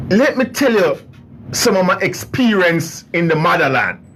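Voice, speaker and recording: With an American accent, a man speaks in a raised, projected voice, animated in tone and lively in intonation, at a fairly slow pace over noticeable background noise. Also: long, frequent pauses, very even loudness. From US South, New Orleans, Louisiana. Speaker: radio host. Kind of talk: casual radio monologue. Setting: studio.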